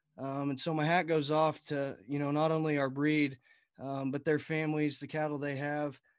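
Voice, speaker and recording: Very clean and set against a silent background, the recording captures a man with a Texas accent speaking at a fairly high pitch and a moderate pace in a monotone, flat intonation. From Texas Panhandle. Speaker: college student and retiring youth livestock association director. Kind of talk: casual interview.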